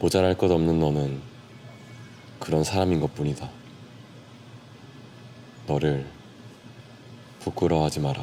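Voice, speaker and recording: Speaking at a fairly slow pace with long, frequent pauses, a man with a very deep, low voice uses ordinary pitch variation. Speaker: audiobook narrator / ASMR reader. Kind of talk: soft book reading for sleep, ASMR. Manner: soft-spoken, calm, slow.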